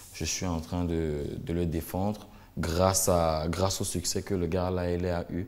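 His voice is very deep and low, with a monotone, flat intonation. The man speaks at a fairly slow pace. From Cameroon. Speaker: singer; guest. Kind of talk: interview. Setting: studio. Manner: hesitant. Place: studio. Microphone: lapel.

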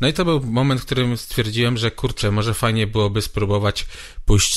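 Here a man speaks at a medium pitch with ordinary pitch variation. His pace is fairly quick. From Poland, Brzeg area. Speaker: guitarist and guitar teacher. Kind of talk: casual interview chat. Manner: repeats words, hesitant.

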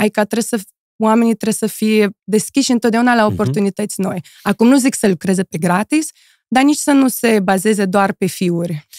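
A woman speaks at a moderate pace in a fairly high pitch, with ordinary pitch variation, a dry sound with no echo and a quiet background. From Moldova. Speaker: model and influencer; influencer. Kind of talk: casual interview chat. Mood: relaxed, thoughtful. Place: studio. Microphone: studio mic.

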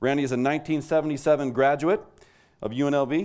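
The background is quiet as a man speaks at a fairly high pitch. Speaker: awards ceremony presenter. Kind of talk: award presentation speech. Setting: stage with audience. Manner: formal. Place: hall. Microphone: podium.

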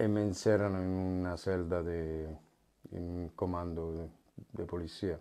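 A man's very deep, low voice with a dark, mellow tone, very slow pace and monotone, flat intonation, over a quiet background. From Italy. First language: Italian (speaking Spanish). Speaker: former prisoner; interview guest. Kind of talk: testimony. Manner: halting. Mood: calm, serious storytelling. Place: studio. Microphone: lapel.

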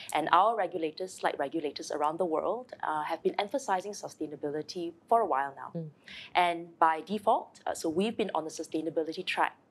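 Pitch varies in an ordinary way as the words come at a fairly quick pace. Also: woman, fairly low pitch for a woman. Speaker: guest. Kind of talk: interview answer. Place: studio.

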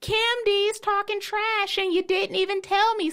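A put-on character voice, squeaky and extremely high in pitch. It moves along at a moderate pace. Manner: gossipy, trash-talking.

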